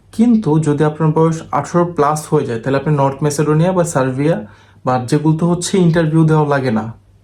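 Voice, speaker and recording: A somewhat breathy man with a fairly high pitch and ordinary pitch variation. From Bangladesh, Dhaka and Chittagong area. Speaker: visa and overseas job agent. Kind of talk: monologue video update. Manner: blunt, assertive.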